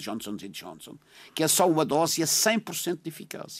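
Very wide pitch swings run through a man's voice. The recording is very clean, with a silent background. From Madeira (São Vicente), Portugal. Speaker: political commentator, army veteran. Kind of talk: radio panel discussion.

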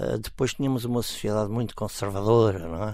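Man's fairly low voice, a plain, everyday voice, at a moderate pace with fairly even intonation. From Portugal, Estoril near Lisbon. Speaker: volunteer and parents' association leader. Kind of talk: radio interview.

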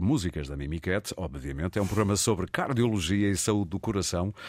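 In a very clean recording with a silent background, a man with a normal speaking voice and fairly low pitch talks at a fairly quick pace with lively intonation. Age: 50s. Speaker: radio host. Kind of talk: radio interview.

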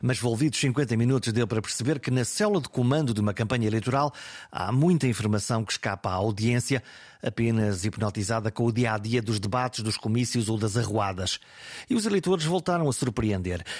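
Using a normal speaking voice, a man talks at a fairly quick pace with medium pitch, ordinary pitch variation and very even loudness, captured on a very clean recording with a silent background. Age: 50s. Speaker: podcast host, retired journalist. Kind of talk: scripted narration; interview.

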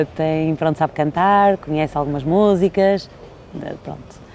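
There is noticeable background noise behind the speaker. A woman talks with ordinary pitch variation. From Portugal. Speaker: event host and entertainer. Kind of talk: interview. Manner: animated.

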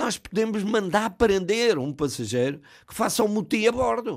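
Very wide pitch swings mark a man's fairly slow speech on a very clean recording with a silent background. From Ribatejo, Portugal. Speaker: retired pilot and author. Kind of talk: radio interview. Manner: halting, repeats words.

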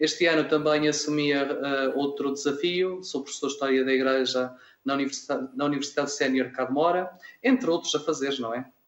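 A man with an ordinary speaking voice talks at a fairly quick pace, with a fairly high pitch and fairly even intonation. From Minho, Braga district, northern Portugal. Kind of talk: radio interview.

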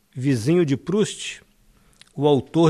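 A man with a Brazilian accent at a very slow pace. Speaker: poet. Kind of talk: poetry reading aloud.

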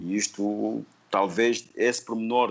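A man speaks at a fairly low pitch with ordinary pitch variation and an ordinary speaking voice. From Mozambique, Sofala (Buzi). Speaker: painter. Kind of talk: interview.

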